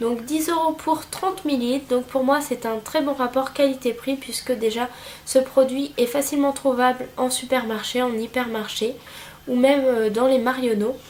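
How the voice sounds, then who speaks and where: A woman's high voice at a moderate pace, with fairly even intonation and noticeable background noise. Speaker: beauty vlogger. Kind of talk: product review. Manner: hesitant, many fillers.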